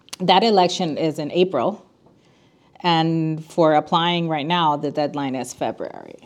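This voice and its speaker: A woman with a Spanish accent, fairly low in pitch, at a fairly slow pace and with ordinary pitch variation. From Puerto Rico. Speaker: attorney and school council parent chair. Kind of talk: podcast interview.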